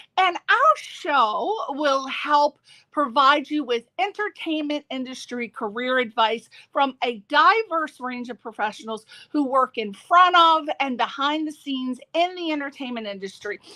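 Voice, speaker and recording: A woman projects a raised, high-pitched voice with a bright, sharp, upbeat tone and lively intonation, recorded dry and close with no echo on a very clean track with a silent background. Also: fairly slow pace. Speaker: radio show host. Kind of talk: radio show intro.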